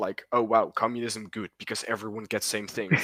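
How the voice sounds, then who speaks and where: A man's bright, sharp voice with a non-native accent, dry and close with no echo. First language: not English. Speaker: podcast host. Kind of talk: casual chat. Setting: recorded at 3am.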